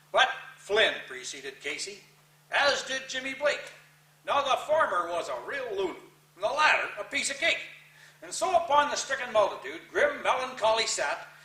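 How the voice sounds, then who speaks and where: A man's raised, projected voice at an extremely high pitch, lively in intonation, with big swings in loudness, a moderate pace, long and frequent pauses, and noticeable background noise. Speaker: cowboy poet. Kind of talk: poetry reading. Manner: folksy, casual.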